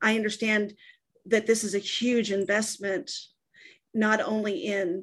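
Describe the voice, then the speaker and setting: A woman with an ordinary speaking voice talks at medium pitch with ordinary pitch variation, in an American accent. She speaks at a fairly slow pace against a quiet background. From Texas. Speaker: sales and service staff at a coaching company. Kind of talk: casual interview.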